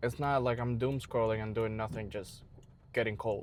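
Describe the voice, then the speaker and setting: A man mumbles at a medium pitch. His intonation is monotone and flat. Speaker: fitness vlogger. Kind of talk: casual vlog talk. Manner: mumbling; fast.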